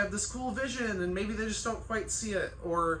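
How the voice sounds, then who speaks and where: A woman talks at a fairly quick pace. Noticeable background noise and audible room echo surround her voice. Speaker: chiropractor and life coach. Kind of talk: casual vlog monologue. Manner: loud and emphatic; animated, conversational with fillers.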